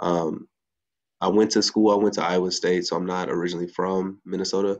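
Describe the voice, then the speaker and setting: With an American accent, a man speaks fairly quickly in a very deep, low, monotone voice with flat intonation against a quiet background. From US Midwest, Chicago area. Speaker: teacher and nonprofit executive director. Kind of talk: panel discussion.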